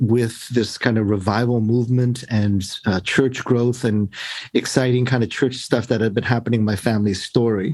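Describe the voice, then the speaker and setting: In a mid-Atlantic accent, the speaker talks at a moderate pace in a flat monotone with very even loudness. The recording is very clean, with a silent background. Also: man, medium pitch for a man. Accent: American English (mid-Atlantic). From US, Baltimore and Maryland; born in Korea. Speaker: professor and preacher. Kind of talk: interview conversation.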